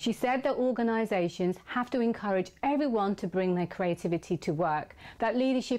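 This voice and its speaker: In a normal speaking voice, a woman talks at a moderate pace with ordinary pitch variation against a quiet background. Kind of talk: video intro summary.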